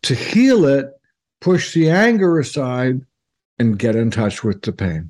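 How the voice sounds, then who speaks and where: A man at medium pitch speaks at a fairly slow pace, his pitch swinging very widely. Long, frequent pauses break up his words on a very clean recording with a silent background. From Toronto, Canada. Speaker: psychic radio host. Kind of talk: casual interview conversation. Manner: halting, many fillers and repeats.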